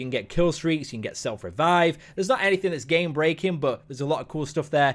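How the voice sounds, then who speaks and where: Very fast and animated, a man talks in a fairly high pitch. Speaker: gaming YouTuber. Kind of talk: gameplay commentary.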